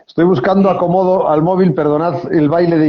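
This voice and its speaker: The speaker talks with a Galician accent at a moderate pace. Pitch variation is ordinary. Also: man. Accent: Galician Spanish, noticeable. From Galicia, Spain. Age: 50s. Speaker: novelist. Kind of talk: interview. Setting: live video stream from mobile phone. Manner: hesitant, many fillers.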